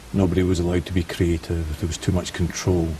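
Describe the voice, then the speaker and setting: Speech with a Scottish accent against noticeable background noise. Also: man. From Scotland. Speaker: finance and leasing specialist. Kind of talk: interview.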